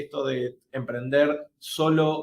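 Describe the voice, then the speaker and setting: Ordinary pitch variation marks a man's voice with fairly high pitch. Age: 40s. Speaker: digital marketing course host. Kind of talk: webinar panel discussion. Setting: live online webinar. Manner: halting, many repeated words.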